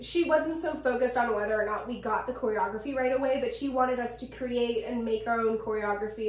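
In a room with audible echo, a woman talks very fast at a fairly high pitch with fairly even intonation. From central Pennsylvania. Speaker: podcast co-host. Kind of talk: casual chat.

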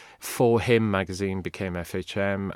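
A man in a Welsh accent, dry and close with no echo, on a very clean recording with a silent background. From Wales. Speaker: university lecturer and former journalist. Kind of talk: casual interview chat.

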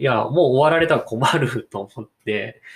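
Using lively intonation, a man with an unremarkable speaking voice talks at a fairly high pitch and a moderate pace. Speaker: podcaster. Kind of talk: casual monologue.

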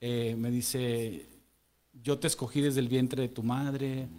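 Speaking at a fairly slow pace, a man has a medium pitch. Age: 40s. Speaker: church member sharing testimony. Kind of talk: testimony. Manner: halting.

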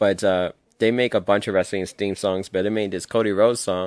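The recording is very clean with a silent background and a dry, close sound with no echo. A man speaks at a fairly low pitch with fairly even intonation. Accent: New York. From New York City. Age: 30s. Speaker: podcast guest, wrestling fan. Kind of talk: casual chat.

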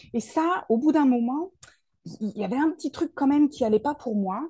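Against a quiet background, a woman with a dark, mellow, somewhat breathy tone talks at a fairly quick pace with lively intonation in a dry, close sound with no echo. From Paris region, France. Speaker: soul therapist and speaker. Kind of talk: interview.

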